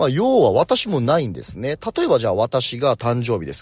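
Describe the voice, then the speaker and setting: A man speaks fairly quickly, the sound dry and close with no echo. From Japan, Oita Prefecture. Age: 40s. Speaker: company president. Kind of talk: morning talk monologue. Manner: casual.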